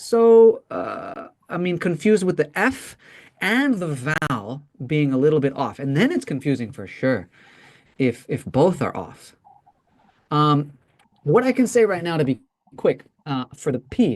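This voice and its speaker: With an American accent, a man speaks at a fairly high pitch with very wide pitch swings. His pace is fairly slow, broken by long, frequent pauses. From US, Mexican American. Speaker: English pronunciation teacher. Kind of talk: online class.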